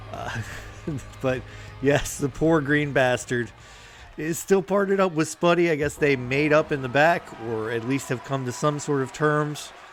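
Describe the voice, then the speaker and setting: A man with a fairly high pitch speaks at a moderate pace, leaving long, frequent pauses, with music in the background. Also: ordinary pitch variation. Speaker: wrestling commentator. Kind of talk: live commentary. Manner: halting, many fillers.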